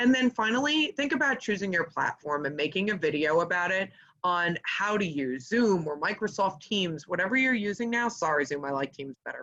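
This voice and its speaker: Animated in tone, a woman at a medium pitch speaks at a fairly quick pace with hardly any pauses and very wide pitch swings. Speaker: fundraising consultant. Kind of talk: webinar presentation. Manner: fast.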